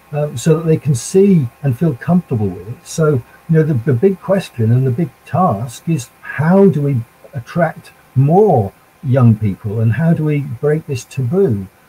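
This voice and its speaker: A man's ordinary speaking voice, fairly high in pitch, with lively intonation, a fairly slow pace and a dry, close sound with no echo. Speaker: spiritualist panelist, last-minute stand-in. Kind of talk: panel discussion.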